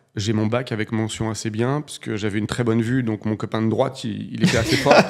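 A man at a moderate pace over a quiet background. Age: 40s. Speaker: real estate investor and entrepreneur; podcast guest. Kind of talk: casual interview. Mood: relaxed, storytelling. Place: studio. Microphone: studio mic.

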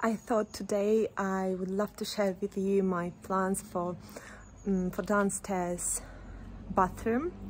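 Speaking at a very slow pace, a woman sounds somewhat breathy, her intonation fairly even over light background noise. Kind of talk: casual vlog chat. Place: street. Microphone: phone near.

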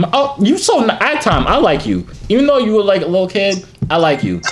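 At a fairly quick pace, a man speaks with a high pitch and big pitch swings.

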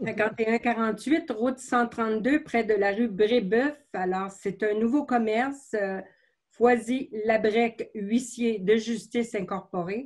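A woman speaks at a very slow pace in a somewhat breathy, fairly high voice with fairly even intonation against a quiet background. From Quebec. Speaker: mayor chairing council meeting. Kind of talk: municipal council meeting. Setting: closed-door council chamber. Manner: formal. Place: home room. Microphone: video call.

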